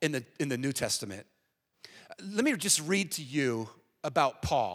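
This voice has vocal fry and very wide pitch swings, moving at a fairly slow pace. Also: man. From US. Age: 50s. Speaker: guest preacher. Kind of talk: sermon. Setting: church.

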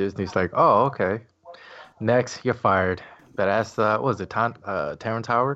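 Moderate pace and ordinary pitch variation in a man's normal speaking voice, medium in pitch. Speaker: podcast co-host. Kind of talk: casual chat. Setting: video call.

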